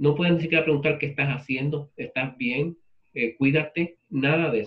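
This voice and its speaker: Here a man speaks at a fairly high pitch. His pace is fairly quick. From Puerto Rico. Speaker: literature professor. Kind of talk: lecture with class discussion. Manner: conversational.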